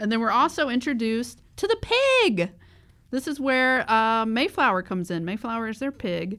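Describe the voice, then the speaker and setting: In a bright, sharp tone, a woman speaks at a moderate pace and a fairly high pitch with lively intonation, on a very clean recording with a silent background. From US South. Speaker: podcast co-host. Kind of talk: casual chat.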